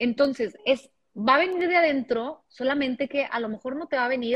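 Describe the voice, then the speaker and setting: Lively in intonation, a woman talks at a moderate pace, the sound dry and close with no echo. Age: 30s. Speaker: podcaster. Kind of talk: casual chat.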